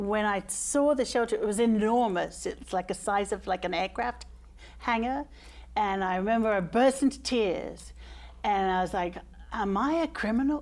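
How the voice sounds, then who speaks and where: A very clean recording with a silent background, an English accent and ordinary pitch variation. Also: woman. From England, London. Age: 40s. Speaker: case manager for homeless people. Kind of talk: talk show interview. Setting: studio with audience.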